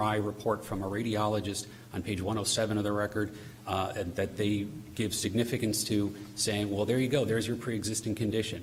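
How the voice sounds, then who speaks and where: A man rattles along at a very fast pace in a monotone, flat intonation and a fairly low pitch, with audible room echo and noticeable background noise. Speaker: appellate attorney. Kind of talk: oral argument in court. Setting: courtroom. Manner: formal.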